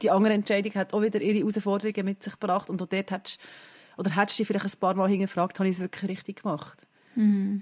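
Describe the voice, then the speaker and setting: Very fast and monotone with flat intonation, the voice carries a Swiss accent in a dry, close sound with no echo. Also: woman, medium pitch for a woman. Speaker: podcast co-host. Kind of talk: casual chat. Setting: video call.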